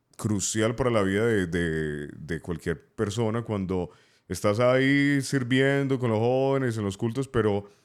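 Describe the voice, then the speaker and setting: The recording is very clean with a silent background as a man talks at a medium pitch. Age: 30s. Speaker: radio announcer and youth pastor. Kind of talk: interview answer.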